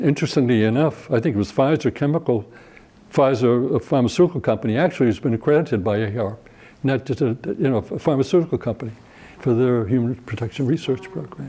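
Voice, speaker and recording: At a very fast pace, a man talks in a dark, mellow tone at medium pitch with ordinary pitch variation. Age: 80s+. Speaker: research ethics organization founder. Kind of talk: oral history interview. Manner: halting, many restarts and fillers.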